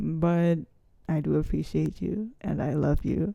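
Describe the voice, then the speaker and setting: A woman speaks in a fairly low voice with a dark, mellow tone. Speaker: vlogger. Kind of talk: casual vlog monologue. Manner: casual, rambling.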